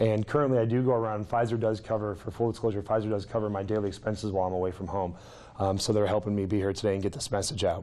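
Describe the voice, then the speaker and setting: Audible room echo surrounds a man speaking at a very fast pace. His voice is fairly low and has a dark, mellow tone. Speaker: clinical health psychologist. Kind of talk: lecture.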